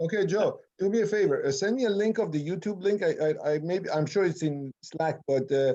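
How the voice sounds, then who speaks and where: The voice moves at a fairly quick pace with a dark, mellow tone and very even loudness. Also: man, high pitch for a man, ordinary pitch variation. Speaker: IT team leader and presenter. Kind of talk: casual chat before video call presentation. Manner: fast.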